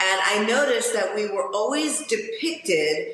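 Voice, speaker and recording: A woman's voice with audible room echo. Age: 60s. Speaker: fitness model and influencer. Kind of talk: casual interview.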